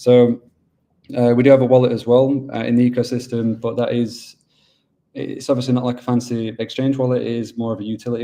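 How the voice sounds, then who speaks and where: A man with a Yorkshire accent speaks fairly quickly in a medium pitch. His tone is dark and mellow, with monotone, flat intonation. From Yorkshire, northern England. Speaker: business development manager at a mining pool. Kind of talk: webinar presentation. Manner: casual, with many fillers.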